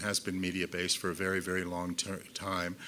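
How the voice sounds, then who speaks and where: In an American accent, a man talks at a fairly quick pace with a bright, sharp tone. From United States. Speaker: visual artist. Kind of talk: symposium talk. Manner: fast; halting with fillers.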